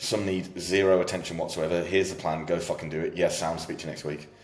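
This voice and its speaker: A man with a British accent speaks at a very fast pace in a very deep, low voice. His intonation stays flat and monotone, and the room echo is audible. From UK. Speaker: fitness coach. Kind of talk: casual chat. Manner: loud.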